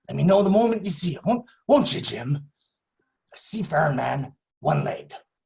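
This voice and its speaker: Putting on a gruff character voice, a man speaks with very wide pitch swings. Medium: stage play. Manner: gruff, stammering.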